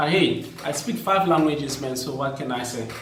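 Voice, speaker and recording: Against noticeable background noise and audible room echo, a man speaks with a fairly high pitch and ordinary pitch variation. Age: young. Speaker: teacher and vlogger. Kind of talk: personal vlog talk. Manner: repetitive, hesitant.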